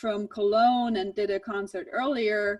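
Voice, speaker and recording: A woman's fairly high voice at a fairly slow pace. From Germany, Swabia. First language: German. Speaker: jazz professor. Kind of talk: online presentation. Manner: halting, many repeated words.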